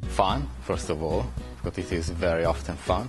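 A man's very deep, low voice at a fairly slow pace, with clear music in the background. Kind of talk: interview answer. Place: hall.

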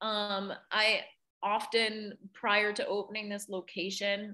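A woman has a plain, everyday voice at a medium pitch. She speaks at a fairly slow pace. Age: 20s. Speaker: art teacher and studio owner. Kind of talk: interview.

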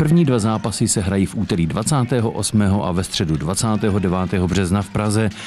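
A man speaks at a fairly slow pace in a fairly low voice. His pitch variation is ordinary, and the background noise is noticeable. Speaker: local TV sports reporter. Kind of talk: news report.

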